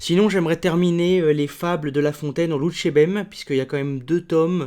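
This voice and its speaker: The man's delivery moves at a fairly quick pace with fairly even intonation. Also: very clean recording, silent background. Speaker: book YouTuber and student. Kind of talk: casual improvised vlog. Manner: hesitant, many fillers.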